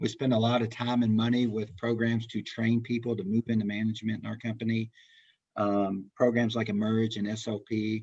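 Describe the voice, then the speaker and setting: Talking at a fairly quick pace, a man keeps a medium pitch with monotone, flat intonation. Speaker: recruiter. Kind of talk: webinar presentation. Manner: fast.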